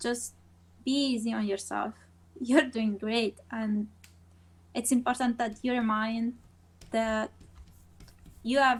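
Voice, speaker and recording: Over a silent background on a very clean recording, a woman with a fairly high pitch talks in a flat monotone at a fairly slow pace, leaving long, frequent pauses. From Rome, Italy. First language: Italian. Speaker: animation team lead. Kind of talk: casual chat.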